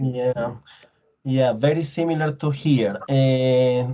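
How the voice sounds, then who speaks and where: The speaker has a Colombian accent. The pace is very slow. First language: Spanish. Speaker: English teacher. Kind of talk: online class discussion. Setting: video call.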